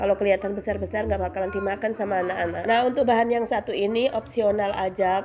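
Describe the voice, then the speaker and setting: Over noticeable background noise, a woman speaks very fast at a medium pitch with monotone, flat intonation. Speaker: cooking vlogger. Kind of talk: cooking tutorial. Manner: casual, chatty.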